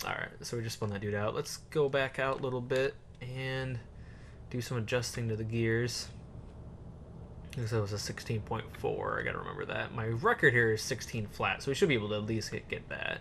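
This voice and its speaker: A soft-spoken man talks at a fairly quick pace with fairly even intonation. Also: medium pitch for a man. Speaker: gaming YouTuber. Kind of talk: let's play commentary. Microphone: voice reported too quiet.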